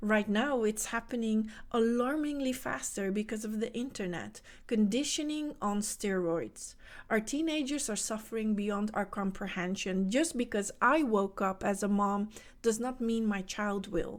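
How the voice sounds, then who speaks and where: On a very clean recording with a silent background, a woman with a Dutch accent speaks at a fairly slow pace in a fairly high pitch with ordinary pitch variation. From Netherlands. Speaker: spiritual coach. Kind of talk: motivational talk.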